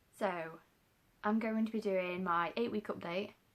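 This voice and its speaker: Her accent is British. This woman's pitch sits in the middle of her range. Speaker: vlogger. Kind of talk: casual vlog. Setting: home, daughter asleep. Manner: soft-spoken.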